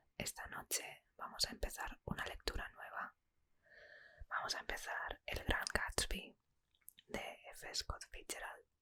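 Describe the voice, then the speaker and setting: Very slow whispering with long, frequent pauses. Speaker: ASMR book reader. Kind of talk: whispered ASMR introduction to viewers. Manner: whispered.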